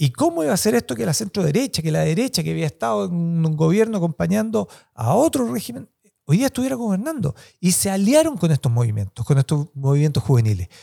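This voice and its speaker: A man with a dark, mellow tone and fairly high pitch talks at a very fast pace with very wide pitch swings. The sound is dry and close, with no echo. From Chile. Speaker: academic and author. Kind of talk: interview.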